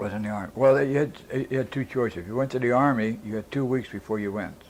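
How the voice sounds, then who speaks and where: The speech comes at a very fast pace with an American accent. Pitch variation is ordinary. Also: man, medium pitch for a man. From Pittsburgh, Pennsylvania. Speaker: World War II veteran. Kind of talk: oral history interview answer. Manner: casual, conversational.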